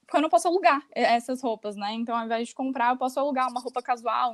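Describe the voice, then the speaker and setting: Very fast speech with ordinary pitch variation. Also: woman. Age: 20s. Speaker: fashion rental entrepreneur. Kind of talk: casual interview chat.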